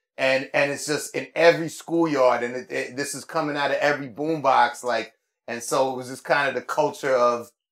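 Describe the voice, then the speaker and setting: A man with a fairly high pitch and a New York accent. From New York City, Upper West Side of Manhattan. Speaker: rapper and visual artist. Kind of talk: casual interview chat.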